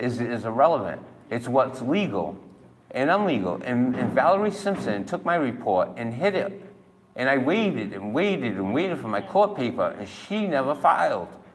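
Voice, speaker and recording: Audible room echo surrounds a man with a Massachusetts accent whose medium-pitched voice swings very widely in pitch. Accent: New England (Massachusetts). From Massachusetts, New Bedford. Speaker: citizen filing a police complaint. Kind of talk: heated complaint at police station. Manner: animated.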